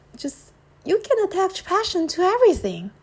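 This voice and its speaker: The speaker is a woman. Her accent is non-native. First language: not English. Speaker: podcaster. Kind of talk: casual solo podcast monologue. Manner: halting, many fillers and repetitions.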